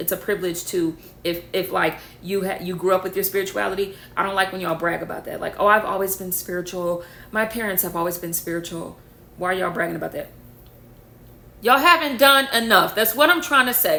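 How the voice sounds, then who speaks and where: A woman speaks very fast at medium pitch in an animated tone, with ordinary pitch variation. Her loudness swings widely over noticeable background noise. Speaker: spiritual content creator. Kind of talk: rant to camera.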